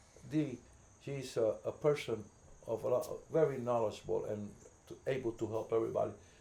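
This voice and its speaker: A man with a Puerto Rican accent. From New York City, the Bronx. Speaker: community volunteer. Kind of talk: casual interview. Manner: halting, repeats words.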